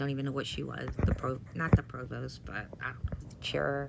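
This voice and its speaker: Against noticeable background noise, a woman speaks in a very deep, low pitch. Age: 50s. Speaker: former college professor, chronic pain patient. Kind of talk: personal video monologue. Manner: halting, with many fillers.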